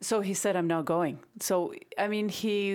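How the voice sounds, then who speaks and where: A woman speaks with a Spanish accent and fairly even intonation. The recording is very clean, with a silent background. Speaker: real estate agent. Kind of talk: casual panel discussion. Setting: on location, background noise.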